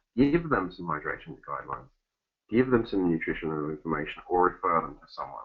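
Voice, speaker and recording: In an Essex accent, a man talks at a fairly quick pace. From Essex, England. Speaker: fitness educator. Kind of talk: webinar presentation. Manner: fast.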